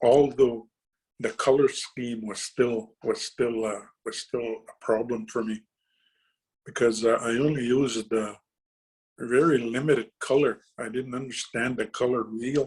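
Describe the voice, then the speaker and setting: The man's delivery is monotone and flat, at a fairly slow pace. His pitch sits at a medium level. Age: 60s. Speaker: painter. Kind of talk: presentation to students. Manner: halting, many repetitions and fillers.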